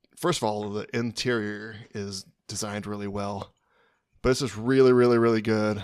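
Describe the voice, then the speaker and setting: On a very clean recording with a silent background, a man with an American accent speaks fairly slowly in a fairly low voice with fairly even intonation. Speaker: podcast co-host. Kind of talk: casual chat. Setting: hotel room. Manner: soft-spoken.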